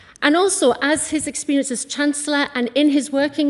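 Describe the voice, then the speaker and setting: A woman talks with a North East England accent. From North East England, County Durham. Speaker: small business owner and local councillor. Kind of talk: campaign speech. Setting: stage with audience. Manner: animated.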